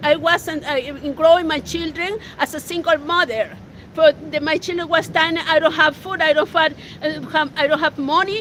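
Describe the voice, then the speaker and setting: A woman's extremely high voice in a Spanish accent, at a moderate pace over noticeable background noise. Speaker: local activist. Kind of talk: testimony. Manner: halting.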